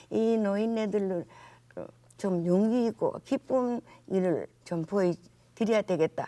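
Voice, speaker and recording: A woman with a dark, mellow tone speaks at a very slow pace. The sound is dry and close, with no echo. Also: medium pitch for a woman, ordinary pitch variation. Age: 80s+. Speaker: philanthropist. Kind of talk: interview answer.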